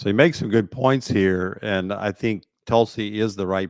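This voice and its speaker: A man speaks at a fairly low pitch and a moderate pace with fairly even intonation. The sound is dry and close, with no echo. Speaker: pastor and talk show host. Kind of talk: political commentary with preaching. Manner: halting.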